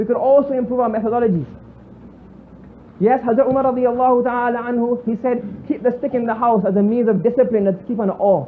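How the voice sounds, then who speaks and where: A man speaks very fast in a Bajan accent at an extremely high pitch, with fairly even intonation. The room echo is audible. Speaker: Islamic scholar. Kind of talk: religious lecture.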